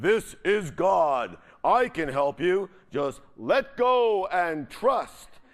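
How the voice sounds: A man adopts a put-on character voice, pitched high and delivered at a very slow pace.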